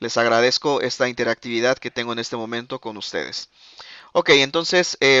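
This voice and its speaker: Over a quiet background, a man talks at a fairly quick pace with ordinary pitch variation in a dry sound with no echo. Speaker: accounting software trainer; webinar presenter. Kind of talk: live webinar presentation. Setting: online webinar with live chat. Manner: fast; filler-heavy, frequent eh and ok. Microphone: video call.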